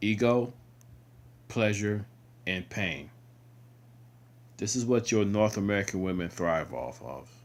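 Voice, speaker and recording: A man mumbles in a fairly low-pitched voice. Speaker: video blogger. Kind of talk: casual monologue. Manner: mumbling; halting.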